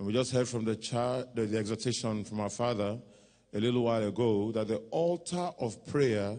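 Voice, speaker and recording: A man is talking. There is ordinary variation in his pitch. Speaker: prayer leader; minister leading prayer. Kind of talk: prayer and benediction. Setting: church. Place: church. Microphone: handheld.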